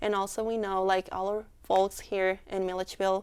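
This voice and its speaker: A woman speaks at a moderate pace in a Mexican accent, her pitch medium. The recording is very clean, with a silent background. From Mexico. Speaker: student club leader. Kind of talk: interview.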